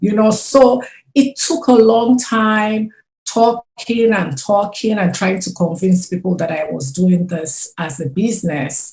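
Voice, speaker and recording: A woman of medium pitch with a non-native accent speaks fairly slowly, somewhat breathy, with lively intonation. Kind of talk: interview.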